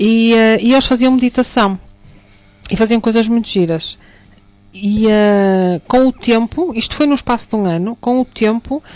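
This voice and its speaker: Someone with a European Portuguese accent speaks at a fairly slow pace with ordinary pitch variation. Music plays in the background. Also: woman, fairly high pitch for a woman. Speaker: teacher and alternative therapist. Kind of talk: radio talk show discussion.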